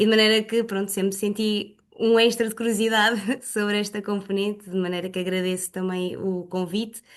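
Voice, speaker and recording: Over a quiet background, a woman speaks fairly quickly at a medium pitch in a flat, monotone way. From Portugal, Leiria. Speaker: exercise and pilates instructor. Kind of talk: self-introduction in online group meeting.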